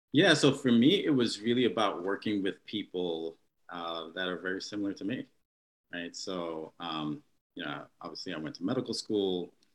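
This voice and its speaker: In an American accent, an ordinary speaking voice moves at a moderate pace with lively intonation and big swings in loudness. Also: man, fairly low pitch for a man. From New York. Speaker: neurologist. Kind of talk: interview.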